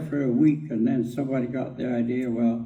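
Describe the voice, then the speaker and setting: There is audible room echo as a man with a Canadian Prairies accent speaks at medium pitch and a moderate pace, his tone dark and mellow. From Saskatchewan, Canada. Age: 80s+. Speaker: war veteran. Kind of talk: storytelling. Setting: stage with audience.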